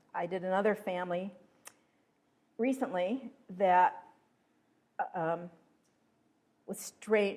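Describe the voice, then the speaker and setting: An American-accented voice with ordinary pitch variation, big swings in loudness, and long, frequent pauses. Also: woman. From Pennsylvania. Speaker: local history researcher. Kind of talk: talk to a history group.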